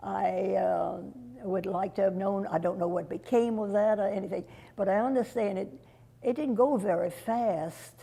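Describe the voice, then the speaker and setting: A woman's medium-pitched voice with vocal fry, a dark, mellow tone and ordinary pitch variation. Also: moderate pace. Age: old. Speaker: local resident recalling history. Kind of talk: oral history interview.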